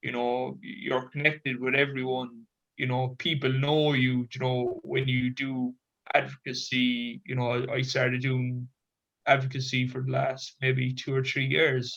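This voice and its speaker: A man with a Cork accent speaks at a fairly slow pace and a medium pitch, his intonation monotone and flat. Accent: Irish (Cork). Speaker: Special Olympics athlete and advocate. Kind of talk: panel discussion.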